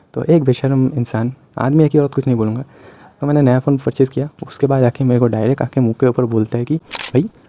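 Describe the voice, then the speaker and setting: A man speaks with a Bengali accent at a moderate pace, his pitch medium with ordinary variation. The sound is dry and close, with no echo. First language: Bengali (speaking Hindi). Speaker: YouTuber. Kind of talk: casual vlog monologue. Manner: hesitant, many fillers.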